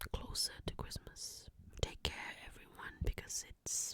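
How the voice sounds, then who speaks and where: Whispered words come out at a fairly slow pace. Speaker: ASMR creator. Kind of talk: ASMR whisper and soft-spoken talk. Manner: whispering; soft-spoken.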